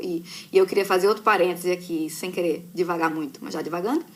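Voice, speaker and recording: A woman speaks with a strong northeastern Brazilian accent and lively intonation. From Brazil, Recife (Pernambuco). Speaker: journalist. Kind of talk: casual live chat with students. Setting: live stream from computer.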